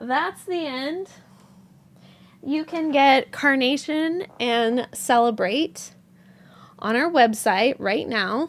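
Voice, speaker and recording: Very slowly and with long, frequent pauses, a woman speaks at a high pitch with lively intonation in a very clean recording with a silent background. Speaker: yarn dyer and live-stream host. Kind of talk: live stream chat. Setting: studio. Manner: halting, many fillers.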